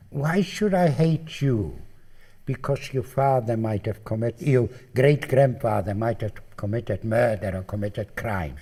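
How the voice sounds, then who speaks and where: Speaking at a fairly slow pace, a man with a medium-pitched, somewhat breathy voice and a dark, mellow tone swings very widely in pitch. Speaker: Holocaust survivor. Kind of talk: interview testimony.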